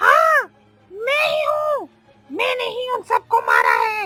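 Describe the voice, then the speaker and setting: Extremely high in pitch, this is a cartoonish character voice. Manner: harsh, threatening.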